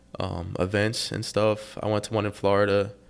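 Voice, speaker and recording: With an American accent, a man with a fairly low pitch speaks at a moderate pace in a monotone, flat intonation. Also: very clean recording, silent background. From Texas, Austin. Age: young. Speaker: young entrepreneur. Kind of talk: interview. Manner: halting.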